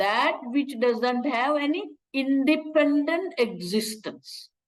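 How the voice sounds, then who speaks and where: A woman with a high pitch talks at a very slow pace and lively intonation. Audible room echo surrounds her voice. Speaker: Vedanta teacher. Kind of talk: lecture.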